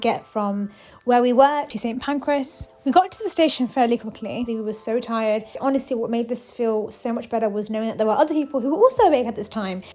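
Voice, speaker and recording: A woman with a high pitch and a dark, mellow tone races along at a very fast pace with hardly any pauses and ordinary pitch variation. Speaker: vlogger. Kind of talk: travel vlog. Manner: soft-spoken.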